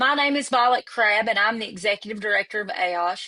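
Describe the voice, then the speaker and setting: With an East Tennessee accent, a woman speaks in a fairly high pitch and a bright, sharp tone. Her pace is fairly quick. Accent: Southern East Tennessee. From US South, East Tennessee. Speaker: executive director of a professional association. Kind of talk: virtual event opening remarks. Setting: virtual webinar.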